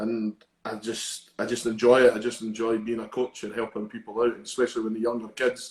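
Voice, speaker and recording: With a Scottish accent, a man speaks at a fairly quick pace in a medium pitch, his intonation monotone and flat and his loudness swinging widely. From Scotland, Edinburgh. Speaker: judo coach. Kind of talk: interview.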